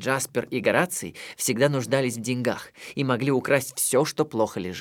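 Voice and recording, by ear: In a natural voice, someone reads aloud, the intonation fairly even.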